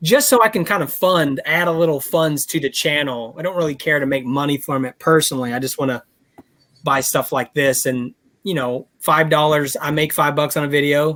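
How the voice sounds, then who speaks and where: This man has a plain, everyday voice, fairly high in pitch, moving at a fairly quick pace with ordinary pitch variation. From Texas. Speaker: toy collector YouTuber. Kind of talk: casual chat.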